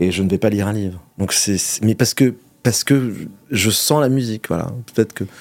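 A man with a fairly low voice talks with ordinary pitch variation and long, frequent pauses, recorded dry and close with no echo. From Monaco. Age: 40s. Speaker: restaurateur and food entrepreneur. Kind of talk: interview. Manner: halting, many repetitions and hesitations.

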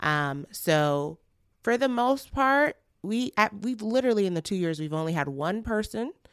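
A woman speaks with very wide pitch swings on a very clean recording with a silent background. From Nigeria. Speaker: podcast community founder. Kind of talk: interview conversation.

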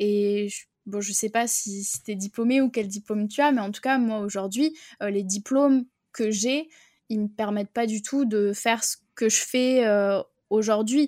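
A woman with a fairly high pitch and a dark, mellow tone speaks at a fairly slow pace with fairly even intonation, in a very clean recording with a silent background and a dry, close sound with no echo. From France, Bordeaux. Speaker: online business coach. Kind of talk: interview. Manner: hesitant, many fillers. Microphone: new microphone.

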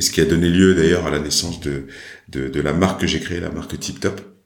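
A man with a very deep, low voice speaks in a room with audible echo. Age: 40s. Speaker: entrepreneur. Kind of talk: interview. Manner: halting.

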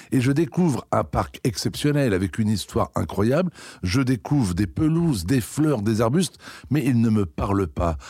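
A man's somewhat breathy voice, dark and mellow in tone, at a moderate pace, with very even loudness and very wide pitch swings. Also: medium pitch for a man. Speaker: head gardener. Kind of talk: interview.

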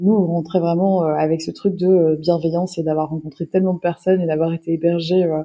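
Her pace is fairly quick, with hardly any pauses. The woman's fairly low voice keeps a monotone, flat intonation. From Wallonia, southern Belgium. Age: 30s. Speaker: filmmaker and cyclist. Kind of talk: interview. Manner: halting.

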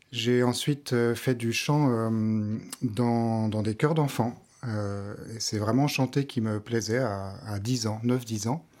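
Very slow speech with fairly even intonation on a very clean recording with a silent background. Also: man, medium pitch for a man. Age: 30s. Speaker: pianist and vocal coach. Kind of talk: casual interview chat. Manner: halting, many hesitations.

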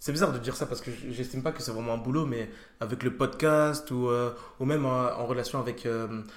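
A plain, everyday voice at a fairly quick pace with fairly even intonation. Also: man, medium pitch for a man. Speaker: podcast host. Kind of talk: casual interview chat.

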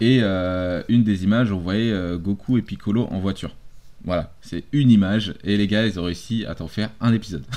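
Fairly low-pitched man with a dark, mellow tone, ordinary pitch variation and a moderate pace. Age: 30s. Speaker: podcast co-host. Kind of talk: casual chat.

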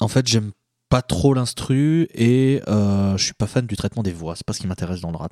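The voice has a dark, mellow tone with ordinary pitch variation and a fairly slow pace. The recording is very clean, with a silent background. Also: man, dry, close sound with no echo. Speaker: podcast panelist. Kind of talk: casual chat.

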